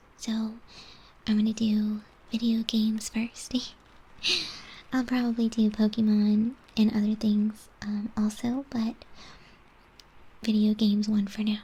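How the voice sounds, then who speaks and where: A soft-spoken, whispering woman at a fairly slow pace, with long, frequent pauses. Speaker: ASMR artist. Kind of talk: casual ASMR chat. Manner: soft-spoken, whispered.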